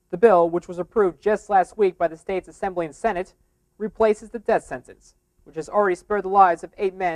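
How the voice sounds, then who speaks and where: High-pitched for a man, this speaker talks at a very fast pace, with a dry, close sound and no echo. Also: big swings in loudness. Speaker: TV news anchor / reporter. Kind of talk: TV news anchor reel.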